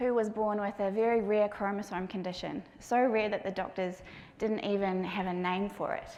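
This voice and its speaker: A woman at a moderate pace with fairly even intonation, audible room echo around her. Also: medium pitch for a woman. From New Zealand. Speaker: patient experience advocate and parent speaker. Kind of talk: conference talk. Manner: gentle.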